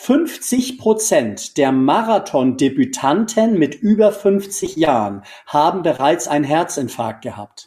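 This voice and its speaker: Swinging very widely in pitch, a man talks in a dark, mellow tone. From northern Germany, North Frisia. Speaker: memory and fitness trainer. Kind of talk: interview. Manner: hesitant fillers.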